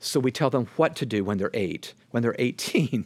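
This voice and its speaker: A man speaks in an ordinary speaking voice with a medium pitch and ordinary pitch variation, on a very clean recording with a silent background. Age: 60s. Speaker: author and leadership speaker. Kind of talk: casual interview conversation.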